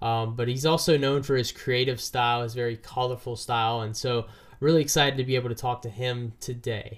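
A man at a medium pitch, fairly even intonation and a fairly quick pace. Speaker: podcast host. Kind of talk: casual interview. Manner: halting.

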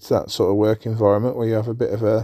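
Speaking with an English accent, a man has a dark, mellow tone and fairly low pitch at a moderate pace, on a very clean recording with a silent background and a dry, close sound with no echo. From England. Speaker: podcast host. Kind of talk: casual monologue. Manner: hesitant, many fillers.

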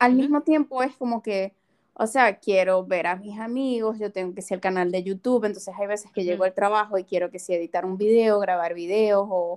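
In an ordinary speaking voice, a woman talks at a medium pitch with ordinary pitch variation, the sound dry and close with no echo. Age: 30s. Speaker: podcast co-host. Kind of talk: casual chat.

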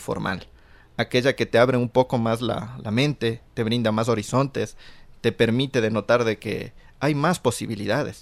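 A man speaks in a plain, everyday voice, medium in pitch, with ordinary pitch variation and a moderate pace. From Ecuador, Conocoto (near Quito). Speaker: graduate student. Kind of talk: radio talk show discussion.

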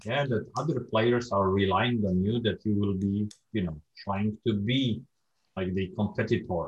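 A man with a Polish accent speaks at a moderate pace, fairly low in pitch and somewhat breathy. His intonation is fairly even and his loudness very even. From Poland. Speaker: podcast host. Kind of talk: casual interview.

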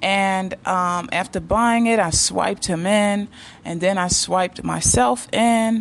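A woman's ordinary speaking voice in a medium pitch, with an American accent and ordinary pitch variation. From United States. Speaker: YouTube dating advice creator. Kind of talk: monologue, personal stories.

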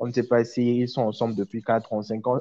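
The man has a dark, mellow tone. He talks at a fairly quick pace. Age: 20s. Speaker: hotelier and web presenter. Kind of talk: casual chat.

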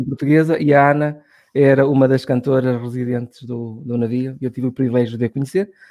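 Fairly even intonation in a man's dark, mellow voice. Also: medium pitch for a man, fairly quick pace. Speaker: podcast host. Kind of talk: casual chat.

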